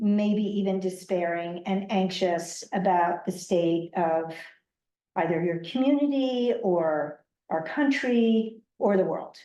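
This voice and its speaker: The voice has a dark, mellow tone and ordinary pitch variation at a very slow pace. Audible room echo surrounds it. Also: woman, medium pitch for a woman. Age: 60s. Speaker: author and educator. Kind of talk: public talk. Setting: library event with live audience.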